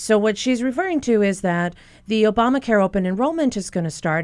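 Talking at a fairly quick pace, a woman uses a normal speaking voice with ordinary pitch variation. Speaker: physician. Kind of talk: expert Q&A on radio call-in show. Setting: radio studio.

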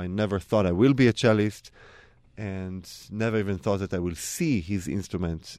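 Against a quiet background, a man with an Israeli accent talks at a moderate pace in a fairly low pitch with ordinary pitch variation. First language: Hebrew. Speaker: cellist. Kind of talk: interview.

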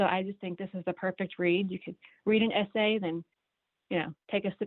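Here a woman speaks at a fairly quick pace. Her medium-pitched voice stays monotone and flat. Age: middle-aged. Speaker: book recommender. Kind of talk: casual radio chat.

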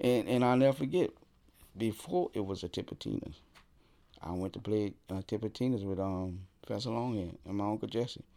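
A man speaks with a New Orleans accent. His pace is moderate. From New Orleans, Louisiana. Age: 60s. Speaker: professional drummer. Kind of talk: interview conversation.

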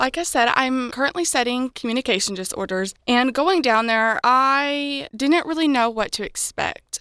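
A woman's high, raised and projected voice with an American accent, bright and sharp in tone, at a moderate pace with hardly any pauses and ordinary pitch variation, on a very clean recording with a silent background. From southern Illinois. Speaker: university student. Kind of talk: radio interview.

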